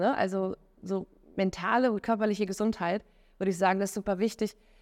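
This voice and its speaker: A woman with a plain, everyday voice, medium pitch, fairly even intonation and a moderate pace. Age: 30s. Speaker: entrepreneur and mobility consultant. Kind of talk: interview. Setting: recorded on site at a conference. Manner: many filler sounds.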